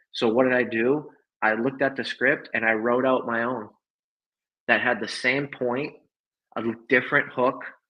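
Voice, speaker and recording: A man speaks at medium pitch and a moderate pace. His intonation is flat and monotone. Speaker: networking coach. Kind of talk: livestream talk. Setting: livestream.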